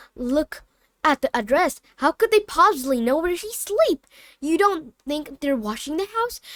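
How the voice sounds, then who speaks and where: A woman uses a put-on character voice at extremely high pitch, with very wide pitch swings. Her voice is shaky, and her pace is moderate. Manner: frightened.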